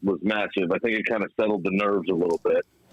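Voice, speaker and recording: Over noticeable background noise, a man with a fairly low pitch talks at a fairly quick pace. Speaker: football fan call-in guest. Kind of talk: casual chat. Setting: phone call.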